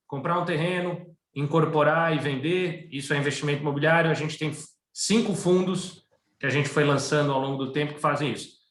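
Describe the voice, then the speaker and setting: Fairly high male voice, somewhat breathy, at a fairly quick pace with fairly even intonation and audible room echo. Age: 40s. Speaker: asset management executive. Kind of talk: webinar interview.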